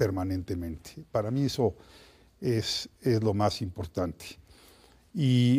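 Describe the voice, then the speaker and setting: Dark, mellow tone from a man, on a very clean recording against a silent background. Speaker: historian. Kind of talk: interview.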